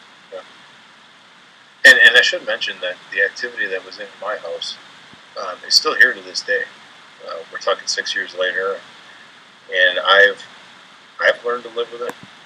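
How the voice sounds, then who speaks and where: A man with an American accent at a moderate pace, with big swings in loudness, long and frequent pauses, and noticeable background noise. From Upper Peninsula of Michigan. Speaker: paranormal investigator. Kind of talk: interview. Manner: halting, repeats words.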